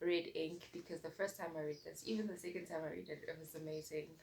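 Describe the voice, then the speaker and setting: A woman speaks in a soft-spoken way. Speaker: booktuber. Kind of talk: casual vlog chat.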